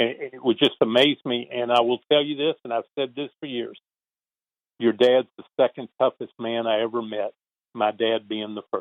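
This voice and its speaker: In a Southern accent, a man talks at a medium pitch with fairly even intonation. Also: moderate pace. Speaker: retired baseball traveling secretary. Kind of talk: interview.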